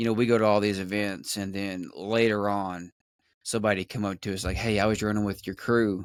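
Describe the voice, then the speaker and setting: A man with a Southern US accent speaks at a fairly low pitch in a monotone, flat delivery. The recording is very clean, with a silent background. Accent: Southern US drawl. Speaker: podcast host. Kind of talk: casual chat.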